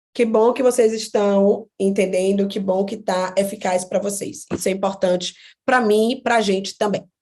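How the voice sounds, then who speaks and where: A woman speaks in a plain, everyday voice. Her intonation is fairly even. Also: medium pitch for a woman, moderate pace. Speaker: psychologist teaching online class. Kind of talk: online lecture.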